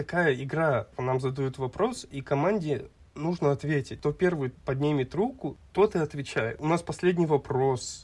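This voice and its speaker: Speaking at a fairly slow pace, a man has a somewhat breathy, fairly high voice with ordinary pitch variation. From Kazakhstan, Almaty. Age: 20s. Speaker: podcast co-host. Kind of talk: casual chat.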